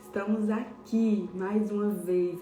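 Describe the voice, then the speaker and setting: A soft-spoken woman at a medium pitch, with audible room echo and music in the background. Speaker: pastor. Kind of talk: devotional sermon.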